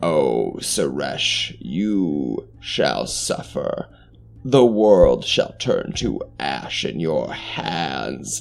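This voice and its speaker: In a put-on character voice, a man cackles at a very slow pace, his pitch very deep and low. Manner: cackling, menacing.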